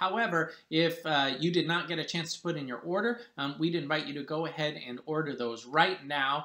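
Room echo can be heard as a man talks. His pace is moderate. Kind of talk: church announcements to congregation. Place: home room. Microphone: webcam.

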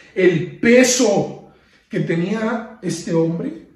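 Audible room echo surrounds a man's high-pitched voice and its lively intonation. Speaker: preacher. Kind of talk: sermon on a Bible passage, with prayer. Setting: online video service in lockdown, few people present. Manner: earnest, teacherly, exhorting the listener directly. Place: home room. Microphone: phone near.

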